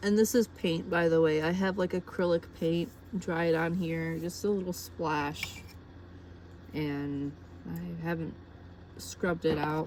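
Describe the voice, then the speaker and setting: She speaks at a fairly slow pace with a fairly low pitch for a woman, fairly even intonation and long, frequent pauses. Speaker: crochet vlogger. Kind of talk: casual tutorial vlog. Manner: hesitant.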